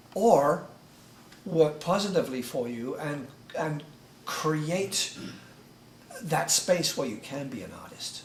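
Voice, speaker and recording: With an English accent and a fairly high pitch, a man speaks at a very slow pace with long, frequent pauses and lively intonation. Audible room echo and noticeable background noise fill the recording. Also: big swings in loudness. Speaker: author. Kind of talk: group discussion. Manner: halting, many repeated words.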